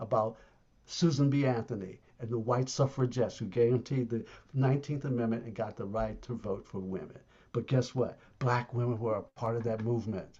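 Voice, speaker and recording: Somewhat breathy male voice at medium pitch, moving at a fairly quick pace. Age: 70s. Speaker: arts management consultant. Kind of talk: online presentation. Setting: video call. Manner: animated.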